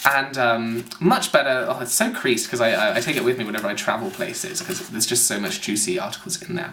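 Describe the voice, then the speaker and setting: Amid noticeable background noise and audible room echo, a man talks at a fairly quick pace in a fairly high pitch, with very wide pitch swings. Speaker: video blogger. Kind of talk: casual review monologue. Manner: fast.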